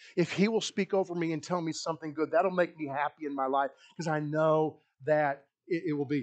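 A man with a plain, everyday voice talks at a fairly quick pace and fairly high pitch with ordinary pitch variation over a quiet background. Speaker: pastor. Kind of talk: sermon. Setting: church. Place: church.

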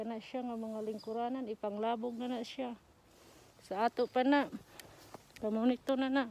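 A woman with a dark, mellow tone speaks at a moderate pace in a monotone, flat intonation. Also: dry sound with no echo. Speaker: vlogger. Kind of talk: casual vlog chat. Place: street. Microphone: phone near.

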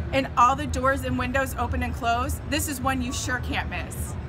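A woman speaking at a moderate pace, with music in the background. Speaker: presenter. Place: hall. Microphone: phone near.

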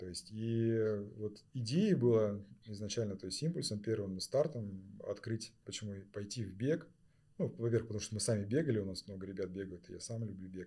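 This man's voice is fairly low, dark and mellow, and somewhat breathy. His loudness swings a great deal. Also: ordinary pitch variation, moderate pace. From southern Kazakhstan. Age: 40s. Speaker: sportswear store co-founder. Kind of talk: casual chat. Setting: studio.

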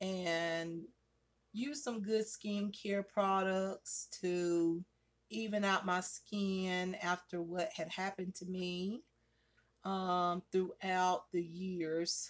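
Over a quiet background, a woman talks at a very slow pace with fairly even intonation. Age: 40s. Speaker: beauty vlogger. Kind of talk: makeup tutorial. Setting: at home by a window. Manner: casual, chatty. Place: home room. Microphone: phone near.

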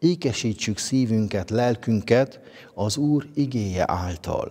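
A man's medium-pitched, dark, mellow voice at a very slow pace, with lively intonation over a quiet background. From Transylvania, Romania (Székely Land); Transylvania, Romania. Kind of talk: spiritual reflection. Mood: calm, warm, devotional. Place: church.

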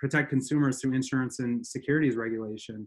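A man speaks in an American accent, the background quiet. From Montana, USA. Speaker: politician, state auditor candidate; attorney. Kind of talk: interview answer. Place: home room. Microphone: webcam.

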